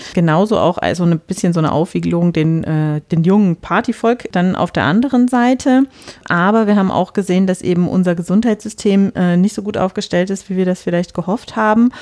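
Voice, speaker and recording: Here is a normal speaking voice from a woman at a medium pitch. She moves at a fairly quick pace with ordinary pitch variation. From rural Germany. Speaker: podcast host. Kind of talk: casual discussion.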